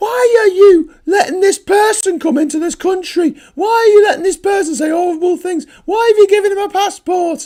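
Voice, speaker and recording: Shouting in a put-on character voice, a man speaks at a moderate pace with an extremely high, squeaky pitch. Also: hardly any pauses. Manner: mocking, whiny.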